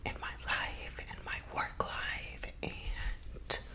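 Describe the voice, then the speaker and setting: Whispering over noticeable background noise. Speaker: real estate agent. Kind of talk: ASMR casual talk to camera. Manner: whispered.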